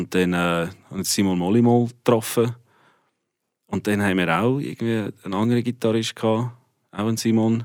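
A man with a medium pitch speaks at a moderate pace with fairly even intonation and long, frequent pauses. The recording is very clean with a silent background. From South Africa. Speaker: rock musician. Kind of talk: radio interview.

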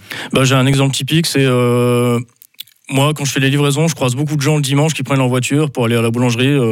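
Amid noticeable background noise, a man speaks very fast at a medium pitch in a flat, monotone way. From northern France, Lille. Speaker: artisan baker. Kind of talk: radio interview.

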